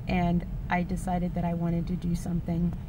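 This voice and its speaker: A woman speaks at a moderate pace. The sound is dry with no echo, though background noise is noticeable. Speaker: vlogger. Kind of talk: personal vlog monologue. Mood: earnest, reflective. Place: car. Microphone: phone near.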